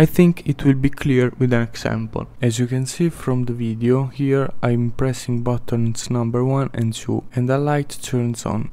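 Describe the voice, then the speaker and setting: A man with a non-native accent speaks at a fairly slow pace with hardly any pauses. His medium-pitched voice keeps fairly even intonation. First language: not English. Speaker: gaming video creator. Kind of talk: gameplay tips narration.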